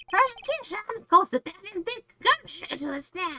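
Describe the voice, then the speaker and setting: A put-on character voice at an extremely high pitch leaps through very wide pitch swings. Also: moderate pace. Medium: virtual streamer. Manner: smug, condescending.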